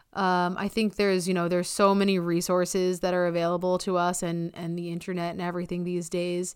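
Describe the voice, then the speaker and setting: A woman's fairly low, monotone, flat voice at a fairly quick pace, on a very clean recording with a silent background. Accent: American. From US Northeast, Long Island, New York. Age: 30s. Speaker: astrophysicist. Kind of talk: casual chat.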